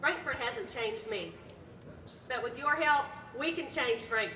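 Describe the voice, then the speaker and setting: Someone talks at a fairly slow pace with an Appalachian accent. Noticeable background noise and audible room echo are present. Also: woman, high pitch for a woman, ordinary pitch variation. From Eastern Kentucky. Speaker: state legislator, candidate. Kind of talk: stump speech.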